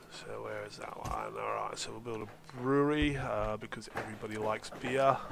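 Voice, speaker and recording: A man at a moderate pace, with big swings in loudness, audible room echo and noticeable background noise. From Australia. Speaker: video game streamer. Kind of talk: gameplay commentary. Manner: flatter than usual; hesitant, many fillers.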